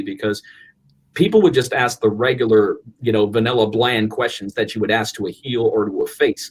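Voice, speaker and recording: Medium in pitch and somewhat breathy, a man's voice. He moves at a fairly quick pace. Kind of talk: casual podcast conversation.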